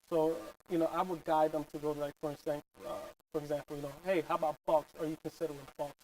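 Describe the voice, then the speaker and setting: In a Philadelphia accent, a man talks very fast in a flat monotone, the sound dry and close with no echo. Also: fairly high pitch for a man. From North Philadelphia. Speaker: real estate agent. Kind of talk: interview.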